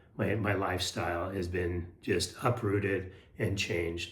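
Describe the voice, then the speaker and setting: His voice comes across somewhat breathy. Audible room echo surrounds the male speaker. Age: 60s. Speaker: health and lifestyle vlogger. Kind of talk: casual motivational talk to camera. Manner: hesitant, many fillers and repeats.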